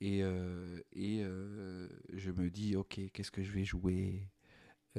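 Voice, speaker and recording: In a very clean recording with a silent background, a man with a Moroccan accent speaks in a very deep, low pitch, his tone dark and mellow, the sound dry and close with no echo. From Morocco. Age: 40s. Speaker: stand-up comedian. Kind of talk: podcast monologue. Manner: hesitant, many fillers.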